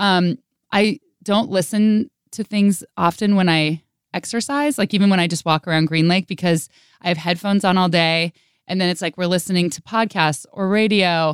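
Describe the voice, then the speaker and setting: An ordinary speaking voice from a woman, medium in pitch with ordinary pitch variation, at a moderate pace in a dry, close sound with no echo. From Northern California. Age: 30s. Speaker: radio host and podcaster. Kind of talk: casual interview chat. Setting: radio studio.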